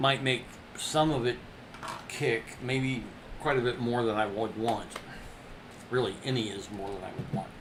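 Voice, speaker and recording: Amid noticeable background noise and audible room echo, a man talks at a moderate pace with long, frequent pauses. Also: medium pitch for a man, fairly even intonation. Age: 60s. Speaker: artist livestreamer. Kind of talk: casual crafting demo.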